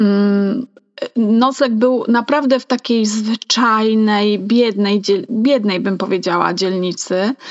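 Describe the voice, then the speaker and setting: A woman speaks at a very slow pace. Her fairly high voice keeps a fairly even intonation. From Poland, Mazovia, small town. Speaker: podcast co-host, hobby writer. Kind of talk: casual chat.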